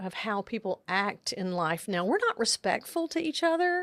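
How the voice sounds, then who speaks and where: Heard dry and close with no echo, a speaker with an American accent talks at a moderate pace with very wide pitch swings. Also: woman. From Central Texas. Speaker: podcaster and nurse. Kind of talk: interview conversation.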